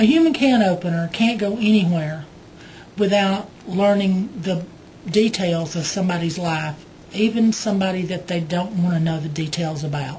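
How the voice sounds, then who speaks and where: Audible room echo surrounds a woman with a Southern US accent who speaks at a moderate pace with ordinary pitch variation. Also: medium pitch for a woman. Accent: Southern US (Georgia). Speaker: video blogger. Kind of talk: casual vlog storytelling. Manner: hesitant, many fillers.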